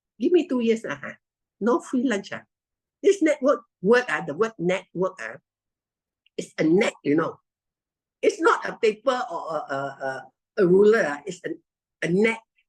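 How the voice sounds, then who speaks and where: At a moderate pace, a woman with a Malaysian accent talks in an animated tone at a fairly high pitch, with very wide pitch swings and vocal fry. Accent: Malaysian English (Manglish). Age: 70s. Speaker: network marketing distributor. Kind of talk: testimony. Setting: video call.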